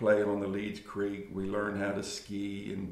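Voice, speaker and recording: In an American accent, a man with a fairly low voice speaks amid audible room echo. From US, Eastern Shore of Maryland (Talbot County). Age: 60s. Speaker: interviewee recounting his life. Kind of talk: oral history interview. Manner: halting, many fillers.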